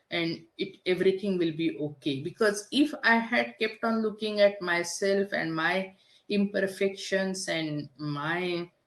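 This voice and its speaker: Speaking with a strong non-native accent, a woman of medium pitch uses lively intonation at a fairly slow pace with hardly any pauses. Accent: heavy foreign. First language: not English (third language). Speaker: business coach. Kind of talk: podcast interview.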